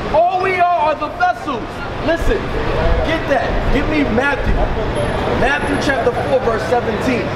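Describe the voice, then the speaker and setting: Loud background noise surrounds a man speaking at a fairly slow pace. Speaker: bishop and street preacher. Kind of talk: street preaching. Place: street. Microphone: camera far.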